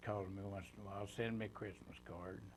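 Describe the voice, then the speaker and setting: Audible room echo surrounds a man's voice. His pitch is fairly low and swings very widely. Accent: Appalachian. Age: 80s+. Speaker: war veteran. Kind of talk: oral history interview. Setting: studio. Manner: halting.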